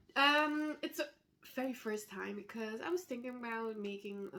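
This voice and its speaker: A woman talks at a moderate pace. Her tone is bright and sharp, and her intonation is lively. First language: not English. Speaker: knitting designer. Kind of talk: casual vlog chat. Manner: hesitant, many fillers.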